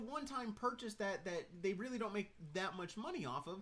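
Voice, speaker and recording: A man projects a raised, bright, sharp voice, high in pitch with very wide pitch swings. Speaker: IT tech streamer. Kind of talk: live stream casual tech talk. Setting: live stream, room with computer screens. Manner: fast.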